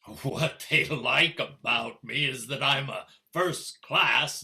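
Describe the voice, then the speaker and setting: A man's put-on character voice at a very slow pace. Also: fairly high pitch for a man. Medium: stage play.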